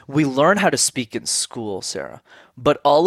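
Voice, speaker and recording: In a normal speaking voice, a man talks at a medium pitch with lively intonation. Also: dry, close sound with no echo. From Montreal, Canada. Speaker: communication coach. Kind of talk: interview. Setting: video call.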